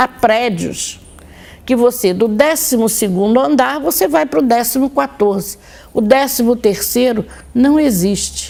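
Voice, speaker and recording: This woman has an unremarkable speaking voice, pitched fairly high, with very even loudness throughout. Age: 60s. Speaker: occultist and religion scholar presenting her own show. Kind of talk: monologue talk to viewers.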